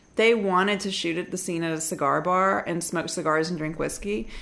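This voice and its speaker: A woman speaks with an American accent at a medium pitch. Her pace is moderate, and room echo is audible. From US South, Alabama. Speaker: documentary filmmaker. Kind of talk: casual interview. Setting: at home. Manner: halting.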